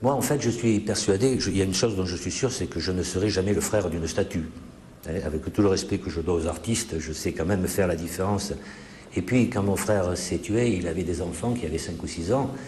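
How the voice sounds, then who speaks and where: Fairly quick delivery with ordinary pitch variation and audible room echo. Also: man, very deep, low pitch for a man. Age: 60s. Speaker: author. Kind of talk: interview.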